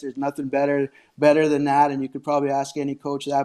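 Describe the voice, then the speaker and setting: Dry and close with no echo, a dark, mellow voice speaks in a Canadian prairie accent. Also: man, quiet background. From Saskatchewan, Canada. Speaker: hockey coach. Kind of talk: casual interview.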